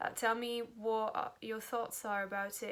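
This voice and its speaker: A woman's flat, monotone delivery with a French accent. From France. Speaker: book vlogger. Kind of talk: casual vlog. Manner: halting, many fillers.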